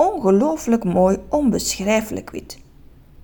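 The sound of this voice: Someone reads in an unforced reading voice, the intonation lively throughout.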